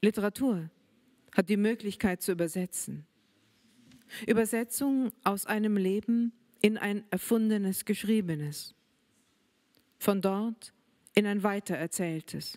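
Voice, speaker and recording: Speaking in a German accent at a fairly slow pace, a woman leaves long, frequent pauses against a quiet background. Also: ordinary pitch variation. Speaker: writer. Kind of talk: reading aloud. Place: hall. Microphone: handheld.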